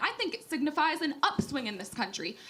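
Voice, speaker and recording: Against noticeable background noise and audible room echo, a woman talks fairly quickly in a raised, projected voice with lively intonation. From New Hampshire. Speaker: political columnist. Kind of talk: public debate. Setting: stage with audience.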